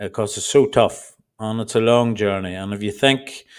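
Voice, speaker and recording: A man with an Irish accent at a fairly slow pace, his intonation fairly even, on a very clean recording with a silent background. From Ireland. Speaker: trading educator. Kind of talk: tutorial. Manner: deliberately slow; passionate.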